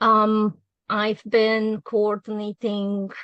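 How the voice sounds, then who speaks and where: The sound is dry and close, with no echo. The background stays quiet. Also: woman. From Romania. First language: Romanian. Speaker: webinar presenter, executive assistant. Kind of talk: webinar presentation. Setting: online webinar. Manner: frequent hesitations (um, uh).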